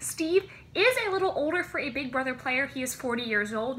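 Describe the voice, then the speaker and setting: Over light background noise, a woman uses a raised, projected voice, talking at a fairly quick pace with lively intonation. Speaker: vlogger. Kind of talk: casual vlog chat. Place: home room. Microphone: phone near.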